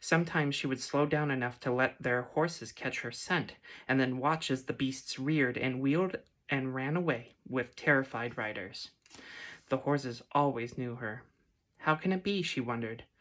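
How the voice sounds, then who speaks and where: A woman speaks quietly in a gentle tone with a very deep, low pitch. Her pace is moderate with ordinary pitch variation, on a very clean recording with a silent background. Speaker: ASMR reader. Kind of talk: read story. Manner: gentle, quiet.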